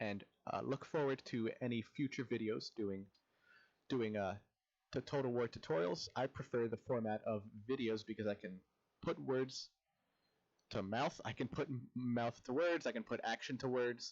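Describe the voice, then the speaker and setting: A man talks at a medium pitch with ordinary pitch variation. He leaves long, frequent pauses. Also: moderate pace. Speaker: modding tutorial creator. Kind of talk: tutorial. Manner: halting, self-corrects.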